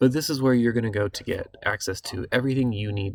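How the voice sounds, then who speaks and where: This man talks at a fairly quick pace with a somewhat breathy, medium-pitched voice and ordinary pitch variation. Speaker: city recreation program coordinator. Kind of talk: online meeting presentation. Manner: fast; hesitant fillers.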